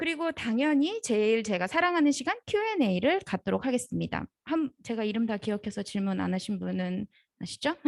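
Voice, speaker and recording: Animated female speech, fairly high in pitch with very wide pitch swings, at a moderate pace, in a dry, close sound with no echo. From South Korea. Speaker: marketing professional giving guest lecture. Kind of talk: lecture.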